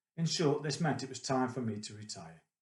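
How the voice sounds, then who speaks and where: Speaking in a Staffordshire accent, a man has a medium pitch and a somewhat breathy voice. His pace is fairly quick. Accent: English Midlands (Potteries). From central England, Stoke-on-Trent. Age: 50s. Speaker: retired IT consultant, charity volunteer. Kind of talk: personal testimony, prepared talk. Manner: measured, formal.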